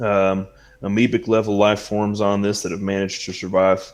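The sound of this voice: What you hear is an unforced reading voice.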